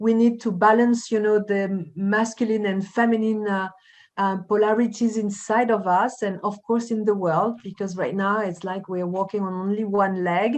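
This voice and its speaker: Over a quiet background, a woman with a slight French accent speaks at medium pitch and a moderate pace in a monotone, flat intonation. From France. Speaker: life coach and journalist. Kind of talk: conversational interview. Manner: hesitant, many fillers.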